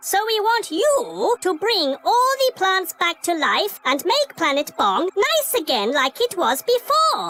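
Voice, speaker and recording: An extremely high, cartoonish character voice with very wide pitch swings, a fairly slow pace and hardly any pauses. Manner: formal, stilted, no contractions; literal, matter-of-fact.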